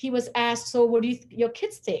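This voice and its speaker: The woman's voice sits high in pitch. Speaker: webinar presenter on executive function. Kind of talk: webinar presentation. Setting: live webinar.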